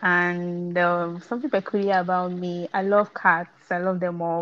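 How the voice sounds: A woman speaks with a fairly low pitch and a fairly bright tone. There is little pitch movement.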